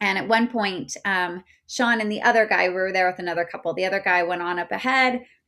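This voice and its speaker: On a very clean recording with a silent background, a woman with an American accent talks at a moderate pace in a bright, sharp tone. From Utah. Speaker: life coach. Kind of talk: casual interview. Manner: gets loud when passionate.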